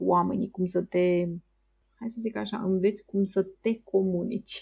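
The tone is dark and mellow, a little breathy. Delivery is monotone and flat at a moderate pace. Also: woman. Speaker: entrepreneur. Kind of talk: interview.

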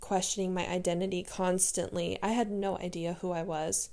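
At a moderate pace, a woman with an American accent speaks at a medium pitch in a monotone, flat way. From San Diego, California. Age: 20s. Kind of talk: casual solo monologue, personal testimony. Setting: alone in bedroom, home recording. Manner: casual, fumbling, unedited.

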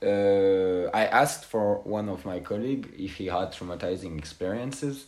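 Speaking with a French accent, a man uses a fairly low pitch, ordinary pitch variation and a moderate pace, with hardly any pauses. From France. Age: 20s. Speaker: former cemetery worker. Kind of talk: interview. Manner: halting, many fillers.

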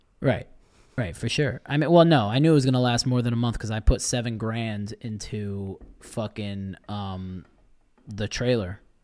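On a very clean recording with a silent background, a man has an ordinary speaking voice and an American accent. He speaks at a moderate pace and medium pitch, with ordinary pitch variation. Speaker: podcast host. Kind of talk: casual chat.

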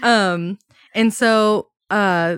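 On a very clean recording with a silent background and a dry, close sound with no echo, a woman with an ordinary speaking voice talks at a medium pitch with ordinary pitch variation. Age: 20s. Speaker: podcast host. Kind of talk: casual chat.

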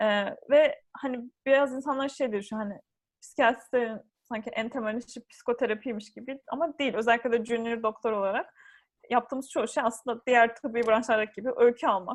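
A woman speaks at a fairly quick pace in a high voice with fairly even intonation against a quiet background. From Turkey. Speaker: psychiatry trainee doctor. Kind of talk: interview. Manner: hesitant, many fillers.

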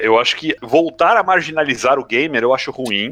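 This man's tone is bright and sharp. The sound is dry and close, with no echo. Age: 40s. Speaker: gaming media professional. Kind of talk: casual chat.

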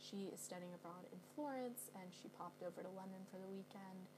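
Over noticeable background noise and audible room echo, a woman with an American accent speaks at a moderate pace. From US West Coast, San Francisco Bay Area. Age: 20s. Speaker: college student podcaster. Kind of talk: casual monologue vlog. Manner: conversational with many fillers.

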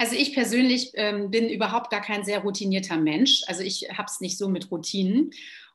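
A woman talks at a fairly quick pace with hardly any pauses, sounding somewhat breathy, with ordinary pitch variation. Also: medium pitch for a woman. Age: 40s. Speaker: yoga teacher and trainer. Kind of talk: casual chat.

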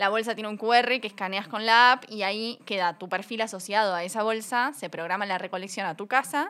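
A woman with a Uruguayan accent, fairly high-pitched and fairly quick, on a very clean recording with a silent background. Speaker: fashion company co-founder. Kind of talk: casual interview.

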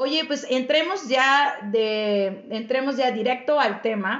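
A woman speaks in a high voice with ordinary pitch variation. Her pace is very slow. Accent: Mexican. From Mexico. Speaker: podcast host and Spanish teacher. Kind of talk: casual chat.

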